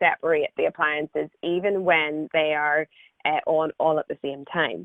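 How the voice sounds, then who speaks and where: In an Irish accent, a woman speaks with a fairly low pitch. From Ireland. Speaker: engineer presenting her company's technology. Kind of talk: webinar presentation.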